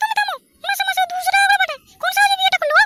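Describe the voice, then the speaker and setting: A woman's cartoonish character voice, extremely high in pitch with ordinary variation, very fast, in a dry, close sound with no echo. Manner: sharp, demanding.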